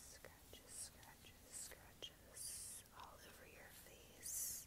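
A soft-spoken woman talks at a very slow pace. Loud background noise fills the recording. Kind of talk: soft roleplay narration to the viewer. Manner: soft, close ASMR murmur. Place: home room. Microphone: earbuds.

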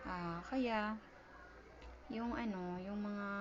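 A woman speaks at medium pitch. Audible room echo and noticeable background noise fill the recording. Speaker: vlogger and store vendor. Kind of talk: casual vlog narration. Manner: halting, many fillers.

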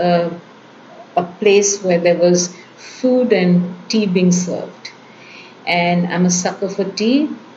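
Over light background noise, a woman with a medium pitch speaks at a very slow pace. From India. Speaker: academic storyteller. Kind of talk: personal storytelling. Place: home room. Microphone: webcam.

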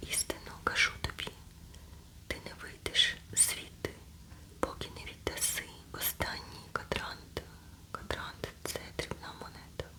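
Whispering at a very slow pace, with long, frequent pauses, big swings in loudness and noticeable background noise. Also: woman. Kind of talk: ASMR scripture reading. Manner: whispered, soft.

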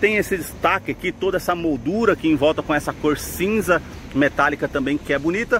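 A man talks at a moderate pace. The sound is dry with no echo, and there is light background noise. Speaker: car channel host. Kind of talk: product walkaround commentary. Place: street. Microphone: phone near.

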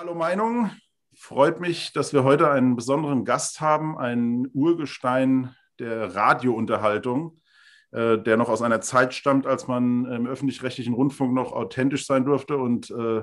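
A man at a fairly slow pace, with ordinary pitch variation and a quiet background. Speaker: interviewer. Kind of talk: interview questions. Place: home room. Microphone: webcam.

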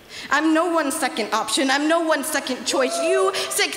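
A woman's voice with very wide pitch swings, audible room echo and music in the background. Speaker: youth slam poet. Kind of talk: spoken word poetry performance. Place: hall. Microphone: handheld.

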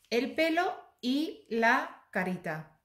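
Through audible room echo, a woman speaks in an animated tone with very wide pitch swings. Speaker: embroidery YouTuber. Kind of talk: product review tutorial.

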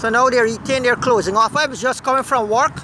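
Noticeable background noise is present. The sound is dry, with no echo. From Guyana. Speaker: video blogger. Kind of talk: casual commentary and interviews. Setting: outdoors. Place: waterside. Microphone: phone near.

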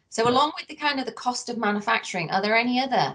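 A woman's voice with vocal fry. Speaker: research centre director. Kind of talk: interview. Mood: friendly, polite. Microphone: video call.

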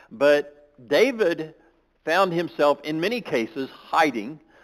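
The speaker is a man. Little or no noise sits behind him. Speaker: preacher. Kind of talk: sermon. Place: church.

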